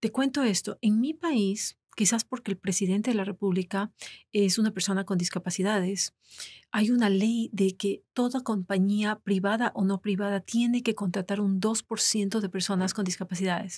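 Over a quiet background, a woman talks at a moderate pace in a somewhat breathy voice with fairly even intonation. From Ecuador. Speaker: podcast guest. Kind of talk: interview. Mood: personal, reflective. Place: studio. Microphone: studio mic.

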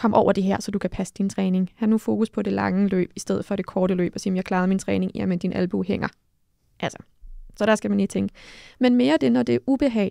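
The delivery is very fast, with lively intonation and a dark, mellow tone. The sound is dry with no echo, over a quiet background. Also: woman, medium pitch for a woman. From Denmark. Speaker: mental coach and former judo athlete; podcast co-host. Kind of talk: casual chat. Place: studio. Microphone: studio mic.

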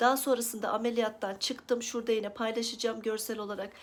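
Her intonation monotone and flat, a woman speaks at a fairly quick pace in a fairly high voice. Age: 30s. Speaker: lifestyle vlogger. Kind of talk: personal vlog about recovery.

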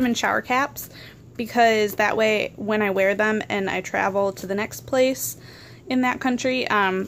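A woman talks at a fairly slow pace with ordinary pitch variation. Light background noise is audible. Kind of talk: casual vlog chat. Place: home room. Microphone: phone near.

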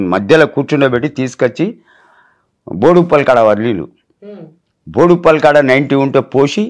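A man talks at a fairly high pitch. His intonation is lively, and his loudness stays very even. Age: 60s. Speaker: viral meme personality. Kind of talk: interview. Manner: animated.

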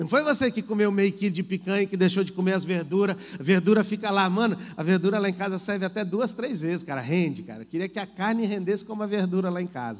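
Over a quiet background, a man talks at a very fast pace with hardly any pauses. His voice is high-pitched and animated in tone. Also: ordinary pitch variation. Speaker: pastor. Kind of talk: sermon, preacher in full flow, fervent exhortation. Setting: church. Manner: animated, emphatic, repeating phrases for rhythm; urgent, direct appeals to the congregation. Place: church. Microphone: handheld.

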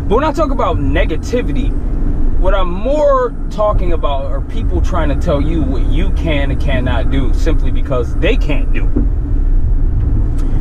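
A man at a fairly slow pace, dry sound with no echo, loud background noise. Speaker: gym vlogger. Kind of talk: angry rant. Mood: emphatic, motivational, irritated. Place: car. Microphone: phone near.

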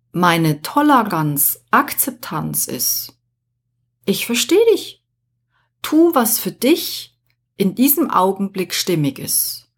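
A woman at a medium pitch speaks very slowly with vocal fry, very wide pitch swings and long, frequent pauses. The recording is very clean with a silent background. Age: 50s. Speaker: podcast host, life coach. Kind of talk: solo podcast monologue.

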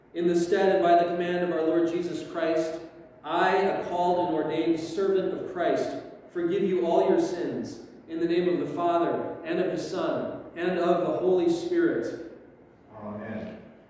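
The recording has strong room echo and light background noise. A man speaks at a moderate pace with a high pitch and ordinary pitch variation. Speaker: pastor leading worship. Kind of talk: liturgy. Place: church.

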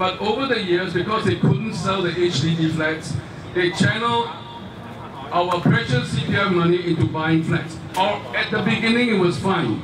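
With a Singaporean accent, a man talks at a fairly slow pace over noticeable background noise. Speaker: rally speaker. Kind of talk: rally speech, addressing a crowd with rhetorical appeals and a story. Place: stage.

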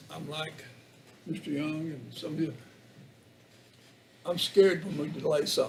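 A man with an Appalachian accent speaks at a moderate pace with a fairly high pitch, leaving long, frequent pauses. His loudness swings widely, and audible room echo fills the recording. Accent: Southern Appalachian US. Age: 70s. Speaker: county commissioner. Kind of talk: public meeting debate. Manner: halting.

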